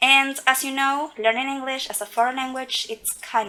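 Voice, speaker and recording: A woman with a high voice projects loudly at a moderate pace, with ordinary pitch variation. Noticeable background noise runs beneath her. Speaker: English teaching student. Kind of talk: scripted podcast interview.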